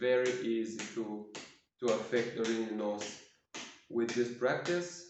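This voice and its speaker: A man with a non-native accent talks at a medium pitch, with audible room echo. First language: not English. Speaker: self-healing practice demonstrator. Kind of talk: tutorial. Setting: at home, quiet for neighbors. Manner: halting.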